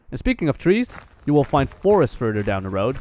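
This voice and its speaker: A man at medium pitch and a fairly quick pace, with noticeable background noise. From Netherlands. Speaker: travel vlogger. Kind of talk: scripted narration.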